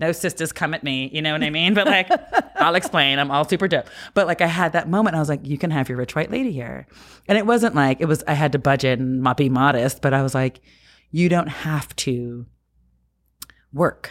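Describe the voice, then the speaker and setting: In a very clean recording with a silent background, a woman with an American accent speaks fairly quickly in an animated tone at a very deep, low pitch. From New Jersey. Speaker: film producer. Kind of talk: casual chat.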